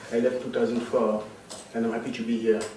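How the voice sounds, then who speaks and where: A man with a French accent, medium pitch and monotone, flat intonation, amid noticeable background noise and audible room echo. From Cameroon. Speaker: political science scholar. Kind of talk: academic talk. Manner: halting, many fillers.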